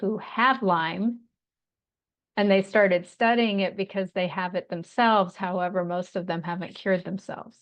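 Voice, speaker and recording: A woman at medium pitch has an ordinary speaking voice. Her pace is moderate and her intonation fairly even. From Montana. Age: 60s. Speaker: Lyme disease survivor and health practitioner. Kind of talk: podcast interview.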